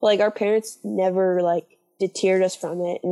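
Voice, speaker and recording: Music plays in the background as a woman at medium pitch speaks at a moderate pace. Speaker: graduate school applicant. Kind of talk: casual chat.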